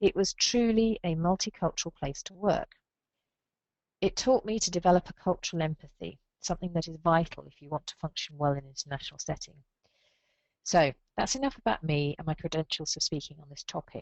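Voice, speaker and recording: With an English accent, a woman speaks at a fairly quick pace and a fairly low pitch. Her intonation is lively, and her loudness swings widely. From England. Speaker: librarian association leader. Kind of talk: speech. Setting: video call. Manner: formal.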